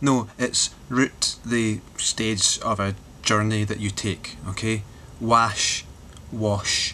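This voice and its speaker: A man with a Glaswegian accent speaks very slowly at a fairly low pitch with fairly even intonation, over light background noise. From Glasgow, Scotland. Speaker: vlogger. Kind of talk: casual talk to camera. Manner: rambling, sardonic. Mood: wry, joking. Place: home room. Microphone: webcam.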